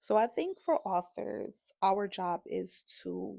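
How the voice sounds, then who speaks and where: A woman with a New Orleans accent sounds animated in a dry, close recording with no echo and a very clean, silent background. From New Orleans, Eighth Ward. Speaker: author. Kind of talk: casual talk on writing.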